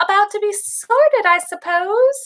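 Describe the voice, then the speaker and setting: Using a put-on character voice, a woman squeaks at an extremely high pitch and a moderate pace. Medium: read story. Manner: warm, friendly.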